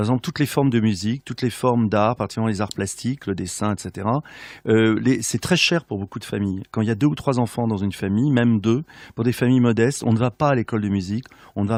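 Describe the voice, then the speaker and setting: A man's medium-pitched voice at a very fast pace, with ordinary pitch variation, dry close sound with no echo, and a quiet background. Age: 60s. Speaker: regional politician. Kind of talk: radio interview. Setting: radio studio. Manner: hesitant, many filler sounds.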